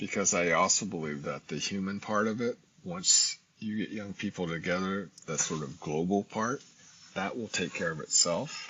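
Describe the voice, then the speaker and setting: Here is an ordinary speaking voice with ordinary pitch variation. The pace stays moderate. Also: man, fairly low pitch for a man. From US, military family, born in Japan. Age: 60s. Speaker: ethnic studies professor. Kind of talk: interview conversation.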